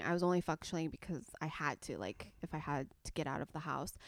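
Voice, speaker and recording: Fairly quick woman's speech with a Californian accent and fairly even intonation, dry and close with no echo, in a very clean recording with a silent background. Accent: General American (California). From Southern California. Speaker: beauty YouTuber. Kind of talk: casual chat.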